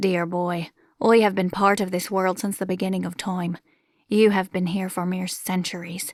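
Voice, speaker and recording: A woman's booming put-on character voice at medium pitch and a moderate pace, on a very clean recording with a silent background. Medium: read story. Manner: theatrical, grandiose, teasing.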